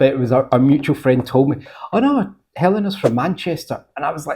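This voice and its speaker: In a Glaswegian accent, a man talks at a moderate pace with a fairly high pitch, a dark, mellow tone, a somewhat breathy quality and ordinary pitch variation. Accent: Glaswegian Scottish. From Scotland, Glasgow. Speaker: podcast host. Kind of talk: podcast interview. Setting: guest's home.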